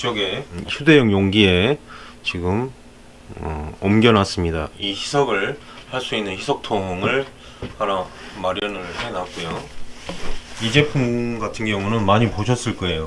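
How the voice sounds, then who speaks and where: A man speaks at a very slow pace with long, frequent pauses, his pitch fairly low and varying in an ordinary way. Noticeable background noise is present. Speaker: interior film installer. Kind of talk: tutorial. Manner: hesitant, many filler sounds.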